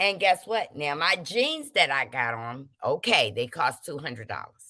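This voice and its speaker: Animated and fairly slow, a woman speaks in a bright, sharp tone with vocal fry. The recording is very clean with a silent background. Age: 50s. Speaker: livestream host. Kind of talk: casual livestream talk reading chat comments.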